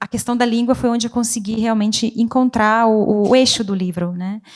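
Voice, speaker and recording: At a moderate pace, a woman with an Italian accent speaks at a fairly high pitch with fairly even intonation. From Italian-speaking Switzerland. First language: Italian (speaking Portuguese). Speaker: poet and writer. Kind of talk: literary panel discussion. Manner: halting.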